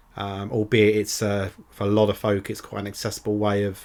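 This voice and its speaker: A man speaks with a British accent at a fairly low pitch. It is a very clean recording, silent background. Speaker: podcast host. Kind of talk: casual solo podcast. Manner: monotone; hesitant, many fillers.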